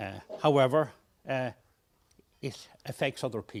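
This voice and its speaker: Taking his time at a fairly slow pace, a man talks in a medium-pitched voice. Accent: Irish. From Ireland. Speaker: session chair at health workforce workshop. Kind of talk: conference session introduction. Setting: conference livestream. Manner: hesitant, frequent fillers.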